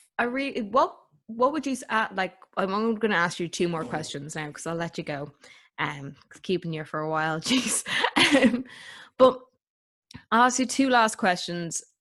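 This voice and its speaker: A woman speaks in an Irish accent at medium pitch and a moderate pace. Her pitch swings very widely, broken by long, frequent pauses. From Ireland. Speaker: podcast host. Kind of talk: interview.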